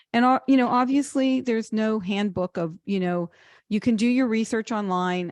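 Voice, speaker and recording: Over a quiet background with a dry, close sound and no echo, a woman uses an ordinary speaking voice, a medium pitch, ordinary pitch variation and a moderate pace. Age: 60s. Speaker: financial advisor. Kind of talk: webinar Q&A answer. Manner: conversational with fillers.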